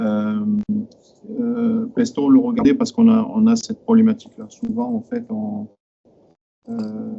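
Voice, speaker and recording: Pausing long and often, a man talks with an extremely high pitch and fairly even intonation. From southern France. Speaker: IT manager at a company, audience member. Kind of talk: technical discussion in Q&A. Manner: fast; halting, many hesitations.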